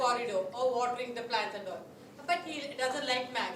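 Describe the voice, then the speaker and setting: Through audible room echo and noticeable background noise, a woman speaks in a high pitch. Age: 60s. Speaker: psychology speaker. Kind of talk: lecture.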